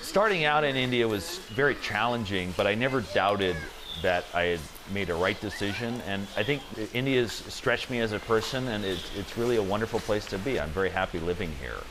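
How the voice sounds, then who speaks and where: A man with an American accent and a fairly low pitch speaks with ordinary pitch variation amid noticeable background noise. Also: fairly quick pace. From US, Maryland (Washington DC suburbs). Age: 30s. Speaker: restaurant entrepreneur. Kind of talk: interview testimony.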